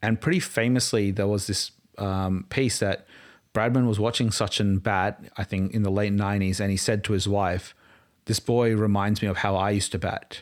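A man talks in an Australian accent at a fairly low pitch and moderate pace. His intonation is fairly even and his loudness very even, on a very clean recording with a silent background. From Australia, Queensland. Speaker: cricket fan. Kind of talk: casual chat.

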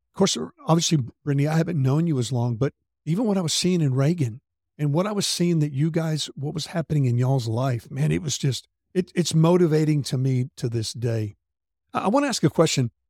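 A man with a Southern US accent has a fairly high pitch, a dark, mellow tone and a somewhat breathy quality. He talks at a fairly quick pace with ordinary pitch variation, the sound dry and close with no echo. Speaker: podcast host. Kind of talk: casual interview chat.

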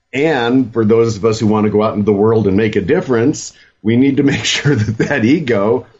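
With ordinary pitch variation and a medium pitch, the man uses a normal speaking voice. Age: 60s. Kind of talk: casual panel discussion.

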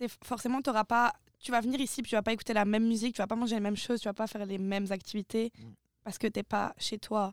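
A woman speaks very fast at a fairly high pitch with monotone, flat intonation. The recording is very clean with a silent background and a dry, close sound with no echo. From France. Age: 20s. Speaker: former civic service volunteer, multimedia. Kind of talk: casual chat.

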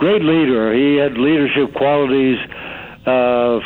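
Amid noticeable background noise, a man with an American accent speaks with fairly even intonation. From US Northeast, Stamford, Connecticut. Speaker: actor and author. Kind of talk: interview. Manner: halting, many fillers.

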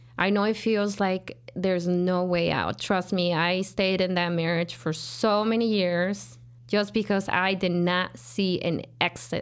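A woman with a Mexican accent speaks at a medium pitch and a fairly slow pace. Her intonation is fairly even and her loudness very even. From rural Jalisco, Mexico. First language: Spanish. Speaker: business owner, cleaning company CEO. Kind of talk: casual interview.

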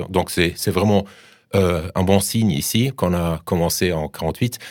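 Heard on a very clean recording with a silent background, a man talks with ordinary pitch variation. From Germany. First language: German (speaking French). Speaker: professor. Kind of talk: radio interview. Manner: halting.

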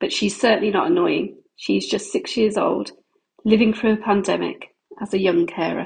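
A woman talks at a moderate pace with a British accent. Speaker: poet and mother of a child with rare disease. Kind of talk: reading poetry aloud.

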